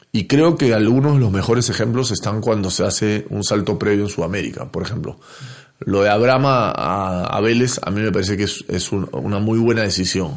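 A man's normal speaking voice, fairly low in pitch, with ordinary pitch variation at a fairly quick pace. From Peru. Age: 40s. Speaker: former footballer and football pundit. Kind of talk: casual interview.

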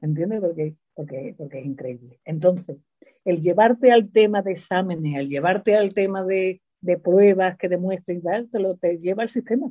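A woman's normal speaking voice at medium pitch, with big swings in loudness, ordinary pitch variation and a moderate pace. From Spain, Seville. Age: 60s. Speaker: retired teacher. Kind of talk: interview.

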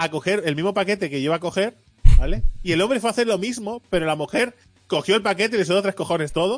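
A man races along at a very fast speed, his high pitch varying in an ordinary way. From Barcelona, Spain. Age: 30s. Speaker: podcast host. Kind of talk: casual chat.

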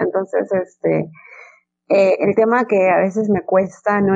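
Against music in the background, a woman speaks at a fairly slow pace. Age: 20s. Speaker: English teacher. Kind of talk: interview.

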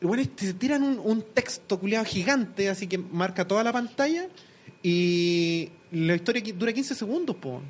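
A man with a Chilean accent speaks at a fairly slow pace, his voice high for a man and his intonation lively. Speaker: youtuber. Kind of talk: casual chat.

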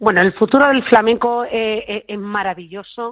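A woman speaks at a moderate pace with a fairly high pitch. It is a plain, everyday voice. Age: 40s. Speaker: flamenco expert and author. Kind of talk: interview. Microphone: connection problems.

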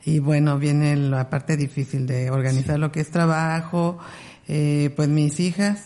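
A woman's very deep, low voice, dark and mellow and somewhat breathy, at a fairly slow pace with fairly even intonation. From Mexico, Ciudad Nezahualcóyotl (Mexico City area). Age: 40s. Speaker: ultra-distance trail runner. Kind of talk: interview.

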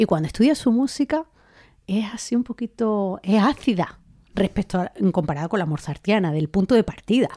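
A woman's medium-pitched voice at a moderate pace, dark and mellow in tone, in a very clean recording with a silent background and a dry, close sound with no echo. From Spain, Andalusia (Linares, Jaén). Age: 30s. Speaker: orchestra conductor. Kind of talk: interview.

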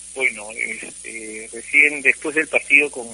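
Noticeable background noise accompanies a man who speaks at a very slow pace. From Peru, Cusco. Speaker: football player agent. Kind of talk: phone interview. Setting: phone call.

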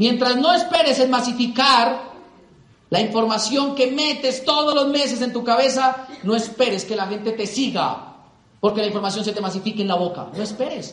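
An animated tone at a moderate pace, over noticeable background noise. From Colombia. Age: 20s. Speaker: business motivational speaker. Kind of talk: motivational talk.

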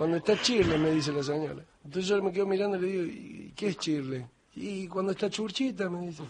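Over noticeable background noise, a high-pitched man talks at a very fast pace. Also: ordinary pitch variation. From Argentina, Morón (Buenos Aires). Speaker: radio host. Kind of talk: late-night comedy radio chat.

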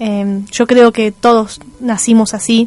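Music in the background behind a woman speaking with a fairly high pitch. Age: 30s. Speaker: radio host. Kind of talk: radio talk show monologue.

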